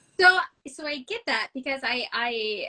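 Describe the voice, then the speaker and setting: A woman talks with lively intonation in a dry, close recording that has no echo. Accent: Midwestern American. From US Midwest. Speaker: novelist. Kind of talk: casual interview chat. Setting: live video stream.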